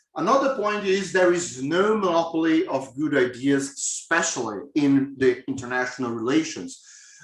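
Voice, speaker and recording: A man speaks with a strong Brazilian accent at a fairly high pitch. His intonation is lively over noticeable background noise. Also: moderate pace. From southern Brazil, Florianópolis. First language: Portuguese. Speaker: professor. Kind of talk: lecture. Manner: hesitant with fillers.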